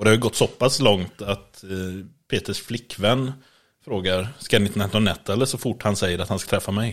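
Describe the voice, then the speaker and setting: In a very clean recording with a silent background, a man with a normal speaking voice talks at a moderate pace, his pitch fairly low and his intonation fairly even. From western Sweden, Borås. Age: 30s. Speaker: podcast co-host. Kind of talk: casual chat. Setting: at co-host's home.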